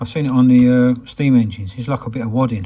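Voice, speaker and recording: A man with an English accent, medium pitch and a dark, mellow, somewhat breathy tone. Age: 60s. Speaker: hobbyist restorer. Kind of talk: workshop tutorial; casual anecdote. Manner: halting.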